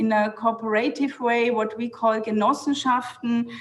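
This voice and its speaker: A woman speaks at a high pitch with a German accent. Her pace is fairly slow, with noticeable background noise. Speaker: city planning official. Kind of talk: panel talk. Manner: halting.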